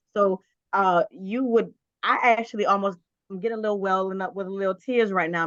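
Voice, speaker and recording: With a New Orleans accent, a woman speaks at a moderate pace, the sound dry and close with no echo. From New Orleans, Louisiana. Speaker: film reviewer. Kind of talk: casual chat.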